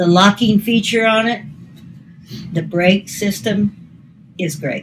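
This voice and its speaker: A somewhat breathy woman at a very slow pace, with a medium pitch and ordinary pitch variation. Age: 80s+. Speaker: senior reviewing a walker. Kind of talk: casual product review.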